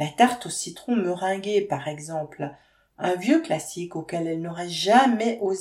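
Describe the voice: What we hear is plain reading aloud.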